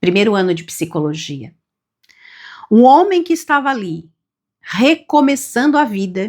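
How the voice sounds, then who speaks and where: A woman with a fairly high pitch speaks at a fairly slow pace, using very wide pitch swings and long, frequent pauses. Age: 50s. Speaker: self-development youtuber. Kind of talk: reflective monologue.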